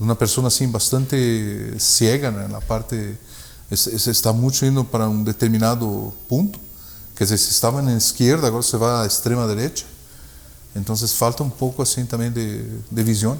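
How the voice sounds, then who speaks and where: A man's medium-pitched voice, moderately paced, with fairly even intonation. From Brazil, German parents. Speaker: purchasing manager in the auto industry. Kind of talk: interview conversation. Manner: hesitant, many fillers.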